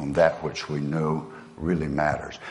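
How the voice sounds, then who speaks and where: A man speaking in an American accent can be heard with audible room echo around him. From US South. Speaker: motivational speaker. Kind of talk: motivational speech.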